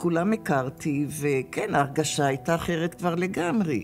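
A woman talks at a fairly slow pace with a very deep, low pitch and ordinary pitch variation. Her loudness stays very even, with faint music in the background. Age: 80s+. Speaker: former hostage. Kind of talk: interview testimony. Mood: calm, reflective, sometimes wry. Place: hall.

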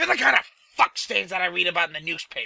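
A man's raised, projected voice comes through dry and close, with no echo. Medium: audio drama. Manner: aggressive, sneering, profane.

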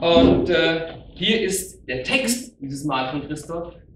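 A man is speaking in a room with audible echo. Light background noise can be heard. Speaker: presenter. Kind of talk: stage announcement. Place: hall. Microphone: camera far.

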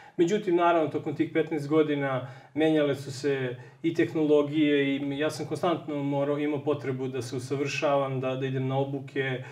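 A man's fairly high, monotone, flat delivery at a fairly quick pace with hardly any pauses, against a quiet background. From Serbia. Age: 30s. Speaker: software engineer; interview guest. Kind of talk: TV interview. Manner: halting. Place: home room.

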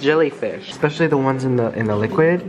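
Ordinary pitch variation marks a man's fairly high voice, heard with noticeable background noise and audible room echo. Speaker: vlogger. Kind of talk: travel vlog. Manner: animated.

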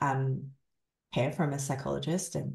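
Against a quiet background with audible room echo, a woman speaks at a very slow pace, somewhat breathy, her pitch swinging very widely. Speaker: survivor coach and author. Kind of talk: interview. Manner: soft-spoken. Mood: reflective, candid. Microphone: video call.

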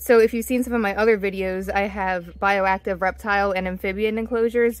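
Monotone, flat intonation comes at a fairly quick pace in a dry sound with no echo. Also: woman. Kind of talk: tutorial. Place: garden.

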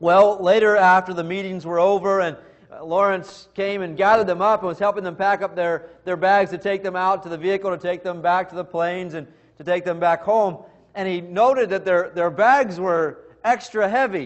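At a fairly quick pace, a man with a high pitch speaks with fairly even intonation over a quiet background. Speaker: preacher. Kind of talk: sermon. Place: church. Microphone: podium.

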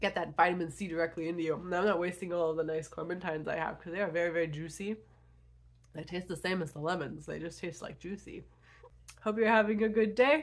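A woman talks at a very fast pace in a fairly low voice, her pitch rising and falling in an ordinary way. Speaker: vlogger and poet. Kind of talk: casual vlog to camera. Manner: casual, chatty.

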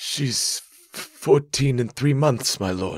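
This is a put-on character voice. It sounds shaky. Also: man. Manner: quivering, nervous.

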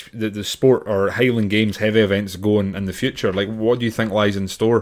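In a very clean recording with a silent background, a man with a Scottish accent speaks at a moderate pace and a medium pitch. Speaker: Highland Games athlete and podcast co-host. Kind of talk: casual chat.

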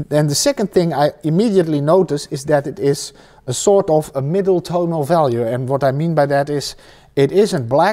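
Over a quiet background, a man with a Dutch accent talks at a fairly slow pace in a fairly high pitch and a dark, mellow tone. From Netherlands. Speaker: painting teacher. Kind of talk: tutorial. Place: workshop.

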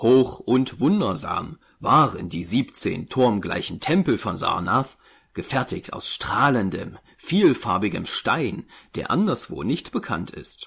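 A man's solemn, medium-pitched voice with vocal fry and very wide pitch swings at a very slow pace, on a very clean recording with a silent background. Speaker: audiobook narrator. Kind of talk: scripted narration, dramatic reading aloud of a horror tale. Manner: solemn, slow, ominous, building dread with an archaic storytelling cadence; formal, measured, grave.

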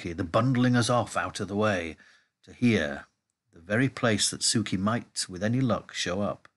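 It is a natural reading voice with ordinary pitch variation against a quiet background.

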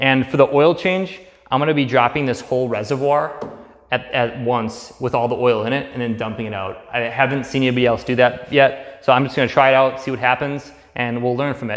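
The speaker is a man with a fairly quick pace. His intonation remains fairly even. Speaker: DIY garage vlogger. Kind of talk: tutorial. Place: garage. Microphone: camera far.

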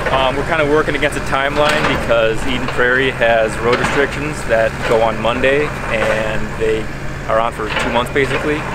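A man holds a moderate pace while loud background noise runs underneath, the sound itself dry with no echo. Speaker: demolition contractor. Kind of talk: interview answer. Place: open country.

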